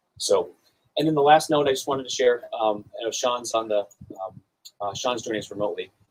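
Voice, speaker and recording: With a slight North Dakota accent, a man talks at a fairly quick pace and ordinary pitch variation, breaking it up with long, frequent pauses. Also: medium pitch for a man. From North Dakota (Arthur). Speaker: award presenter at a cybersecurity summit. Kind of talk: award speech. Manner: halting, many fillers.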